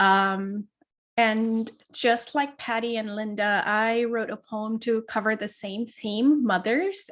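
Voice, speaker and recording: A woman speaks at a very slow pace with a fairly high pitch and fairly even intonation. The recording is very clean, with a silent background. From Baltimore. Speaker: poet. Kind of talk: poem introduction.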